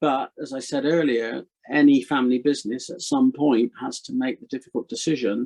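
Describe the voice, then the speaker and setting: A man with a West Country accent speaks at a fairly quick pace, his pitch fairly high with ordinary variation. The sound is dry and close, with no echo. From Gloucestershire, England. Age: 60s. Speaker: retired haulage business owner. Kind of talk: interview.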